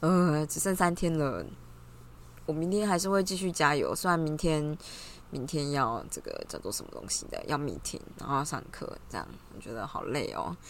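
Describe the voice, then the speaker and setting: A woman's animated tone at a very deep, low pitch, ordinary pitch variation, big swings in loudness, moderate pace, and audible room echo. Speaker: graduate student vlogger. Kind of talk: casual vlog monologue.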